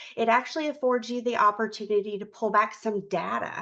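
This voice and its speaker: A woman with a normal speaking voice talks at a moderate pace, fairly high in pitch. The background is quiet. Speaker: state agency program representative. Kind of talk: conference presentation.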